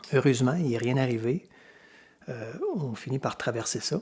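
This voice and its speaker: A man with a Quebec accent talks at a medium pitch in a somewhat breathy voice. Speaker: hiker filming his trip. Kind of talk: casual narration. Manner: hesitant, many filler words.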